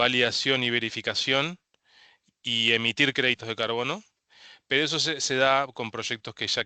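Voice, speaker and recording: Against a quiet background, a man speaks at a moderate pace with fairly even intonation, his bright, sharp tone captured in a dry, close sound with no echo. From Uruguay. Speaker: carbon credit consultant. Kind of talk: webinar presentation. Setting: online webinar. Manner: halting, many fillers.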